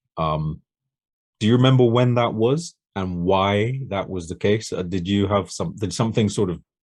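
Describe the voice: A man speaks at a moderate pace with a low pitch. His slightly mellow tone carries lively intonation.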